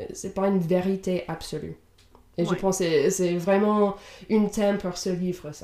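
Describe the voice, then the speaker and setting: A woman's dark, mellow tone with monotone, flat intonation and big swings in loudness. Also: medium pitch for a woman, moderate pace. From Indiana, US. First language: English (speaking French). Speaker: podcast co-host. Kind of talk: casual book discussion. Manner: halting, many fillers.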